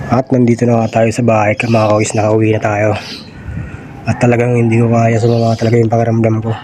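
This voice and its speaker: The speech is very fast, with flat, monotone intonation and very even loudness. Noticeable background noise runs underneath. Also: man, medium pitch for a man. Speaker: delivery rider vlogger. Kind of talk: vlog monologue. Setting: at home.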